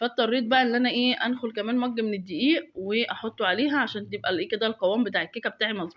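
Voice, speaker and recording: Here a woman with an Egyptian accent talks at a very fast pace with hardly any pauses. Her pitch varies in an ordinary way. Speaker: home cooking video maker. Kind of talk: cooking tutorial voiceover. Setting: recorded voiceover at home. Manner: casual, chatty with fillers.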